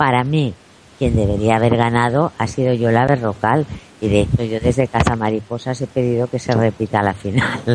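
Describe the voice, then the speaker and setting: A woman talks at a moderate pace with fairly even intonation. Noticeable background noise is present. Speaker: celebrity journalist and TV pundit. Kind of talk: interview. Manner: calm, not shrill.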